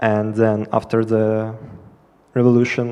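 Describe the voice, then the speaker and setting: Here a man talks with a Russian accent in a dark, mellow tone. His pace is very slow. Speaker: student asking a question. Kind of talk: audience question. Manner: hesitant, many fillers.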